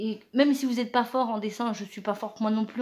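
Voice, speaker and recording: A woman speaks with fairly even intonation. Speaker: craft youtuber. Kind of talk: tutorial. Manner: halting, many hesitations.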